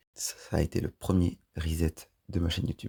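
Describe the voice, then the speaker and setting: The man's pitch is very deep and low, and he sounds somewhat breathy. The sound is dry and close, with no echo. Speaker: YouTuber. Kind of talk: personal vlog storytelling. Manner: monotone; hesitant.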